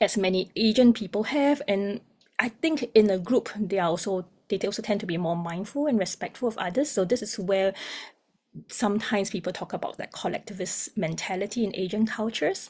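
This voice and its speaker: This woman's voice is somewhat breathy, at a medium pitch with ordinary variation. She speaks at a fairly quick pace. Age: young. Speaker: music therapist. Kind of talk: webinar presentation.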